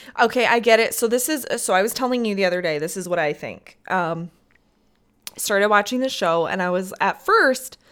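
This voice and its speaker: A woman's medium-pitched voice with a Midwestern US accent, at a moderate pace with ordinary pitch variation. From US Midwest. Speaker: podcast co-host. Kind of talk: casual chat.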